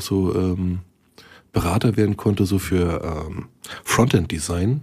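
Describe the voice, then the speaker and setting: A man's somewhat breathy voice, dark and mellow, fairly slow and fairly even in intonation, on a very clean recording with a silent background. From Berlin, Germany. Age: 40s. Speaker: IT consultant, podcast host. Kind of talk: casual chat.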